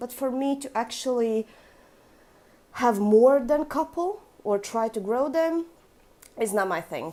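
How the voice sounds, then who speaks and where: Long, frequent pauses mark a woman's dark, mellow, high-pitched voice. Her intonation is lively. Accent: Russian. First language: Latvian. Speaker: orchid collector. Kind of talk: casual vlog. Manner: casual with fillers.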